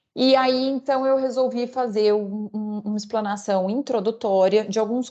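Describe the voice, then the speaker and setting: Her voice is fairly high-pitched, with a dark, mellow tone. The woman's pitch varies in an ordinary way. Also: quiet background. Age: 30s. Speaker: corporate lawyer. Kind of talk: online lecture. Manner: halting, many fillers.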